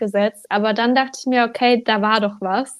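With an ordinary speaking voice, a woman talks at a moderate pace in a fairly high pitch with fairly even intonation. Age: 20s. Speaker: social media coach. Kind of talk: casual interview chat.

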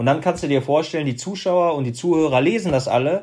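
A man speaks at a fairly quick pace with a fairly high pitch and fairly even intonation. It is an unremarkable speaking voice, set against a quiet background. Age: 30s. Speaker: former pro footballer and motivational speaker. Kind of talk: interview.

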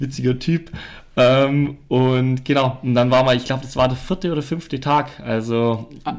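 At a moderate pace, a man with a medium pitch speaks in fairly even intonation. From Allgäu, Bavaria/Swabia, southern Germany. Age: 20s. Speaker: professional mountain biker. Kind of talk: casual interview chat. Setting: on-site recording at a farm. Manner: quiet, soft-spoken.

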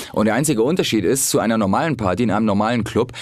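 A man speaks at a very fast pace in a fairly low pitch. Background noise is noticeable. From Hamburg, northern Germany. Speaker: comedian. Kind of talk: casual chat.

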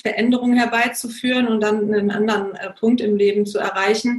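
A woman speaks in a monotone with flat intonation. Her voice is fairly high and somewhat breathy. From Germany. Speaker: coach and consultant. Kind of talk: interview.

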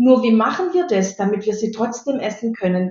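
Amid audible room echo, a woman with a fairly high, somewhat breathy voice speaks at a moderate pace. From Stuttgart area, Swabia (Baden-Württemberg). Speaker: anti-bullying mentor. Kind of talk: interview.

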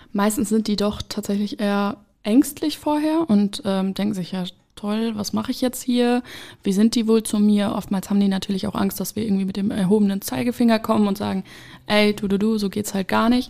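At a fairly quick pace, a woman talks in a dark, mellow tone at medium pitch with ordinary pitch variation. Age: 20s. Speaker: social worker, addiction counselor. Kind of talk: interview.

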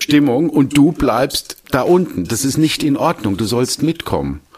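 The pitch rises and falls in an ordinary way. Background noise is noticeable throughout. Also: man. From Germany, Palatinate (Landau). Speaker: wine merchant and sommelier. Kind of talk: casual interview conversation.

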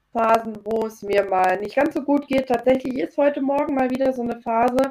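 A woman speaks in a high voice at a moderate pace. Her pitch variation is ordinary. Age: 30s. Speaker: chronic fatigue coach. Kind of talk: interview. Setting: video call. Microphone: poorer Zoom audio.

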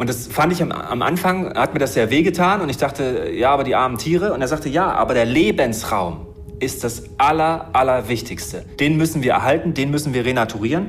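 Amid audible room echo, a man talks at a fairly quick pace in a fairly high voice with lively intonation. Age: 30s. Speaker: marine biologist and conservationist. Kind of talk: interview. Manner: fast.

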